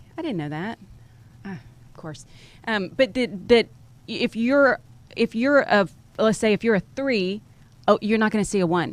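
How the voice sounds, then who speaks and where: A woman at a moderate pace with lively intonation and long, frequent pauses. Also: fairly high pitch for a woman, big swings in loudness. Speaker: podcast host. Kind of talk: interview. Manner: halting.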